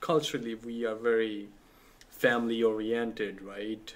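Speaking at a moderate pace, a man talks at a medium pitch with a Punjabi accent. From Pakistan. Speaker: church multicultural ministry director. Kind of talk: casual chat.

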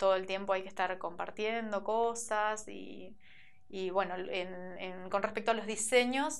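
A woman speaks at a moderate pace and medium pitch with fairly even intonation. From Argentina, Merlo, San Luis; Argentina. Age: 30s. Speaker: shoe designer and entrepreneur. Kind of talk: interview. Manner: hesitant, many fillers. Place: studio. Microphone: lapel.

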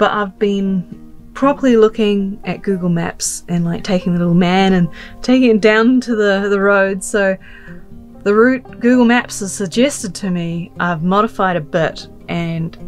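Over faint background music, a woman speaks fairly slowly with ordinary pitch variation. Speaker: travel vlogger. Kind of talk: casual vlog chat. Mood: nervous, slightly anxious laughing. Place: car. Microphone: phone near.

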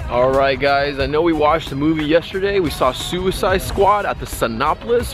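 A man talks at a fairly quick pace. The sound is dry with no echo, and clear music plays in the background. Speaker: vlogger. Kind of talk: casual vlog chat. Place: street. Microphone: phone near.

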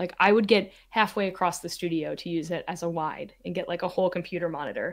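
In an American accent, a woman of medium pitch speaks at a moderate pace with ordinary pitch variation on a very clean recording with a silent background. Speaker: photographer and video creator. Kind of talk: casual interview chat. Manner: animated.

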